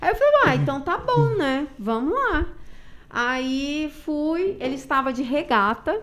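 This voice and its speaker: Very slow and with lively intonation, a woman speaks in a high pitch with a Minas Gerais accent. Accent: Minas Gerais accent, kept. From Brazil, Minas Gerais. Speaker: CrossFit gym owner and coach. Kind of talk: casual chat.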